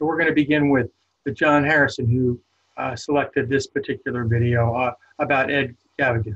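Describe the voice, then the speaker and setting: A fairly high-pitched man's voice at a moderate pace against a quiet background. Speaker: prison ministry director. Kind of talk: webinar presentation. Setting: video call. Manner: halting, many fillers. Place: home room. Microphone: webcam.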